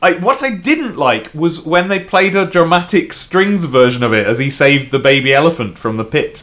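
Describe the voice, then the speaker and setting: With a British accent, a man speaks in a high pitch with very wide pitch swings. He barely pauses at all. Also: moderate pace. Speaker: podcast host. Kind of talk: casual chat.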